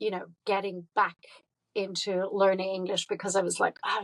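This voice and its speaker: Speaking with a German accent, a woman keeps a medium pitch. Her intonation is monotone and flat, the sound dry and close with no echo. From Germany. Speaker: artist and dancer. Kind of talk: interview.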